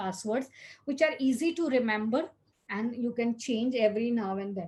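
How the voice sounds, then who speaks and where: Somewhat breathy and in a Gujarati accent, the voice shows ordinary pitch variation. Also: woman. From India, Gujarat. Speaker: cyber safety speaker. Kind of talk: talk. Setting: video recording.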